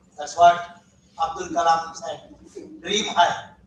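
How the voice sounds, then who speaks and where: A man talks at a very slow pace with audible room echo. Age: 70s. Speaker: academic session chairperson. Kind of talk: seminar talk.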